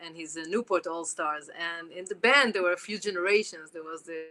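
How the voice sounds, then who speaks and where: A woman speaks with a strong Israeli accent in a bright, sharp tone. Her pace is moderate and her intonation fairly even. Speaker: jazz clarinetist. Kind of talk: interview.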